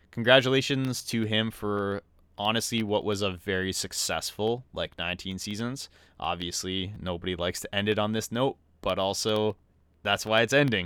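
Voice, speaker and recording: Here is a man with a Canadian accent and a normal speaking voice, pitched fairly low with ordinary pitch variation. He talks at a moderate pace on a very clean recording with a silent background. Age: 20s. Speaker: hockey podcast co-host. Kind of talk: casual chat. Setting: recorded in person together.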